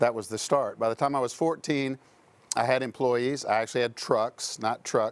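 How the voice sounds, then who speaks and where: With an unremarkable speaking voice, a man talks at a moderate pace and medium pitch with fairly even intonation in a very clean recording with a silent background. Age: 60s. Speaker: entrepreneur and insurance professional. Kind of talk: casual interview storytelling.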